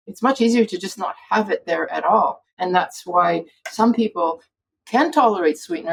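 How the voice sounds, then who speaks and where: A woman with a fairly high pitch, somewhat breathy, with lively intonation at a fairly quick pace. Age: 60s. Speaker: physician, food addiction expert. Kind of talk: interview conversation.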